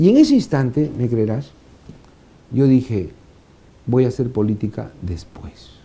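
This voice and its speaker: Pausing long and often, a man speaks slowly at a medium pitch with ordinary variation, his tone dark, mellow and somewhat breathy. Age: 60s. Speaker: former congressional administrator. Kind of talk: interview.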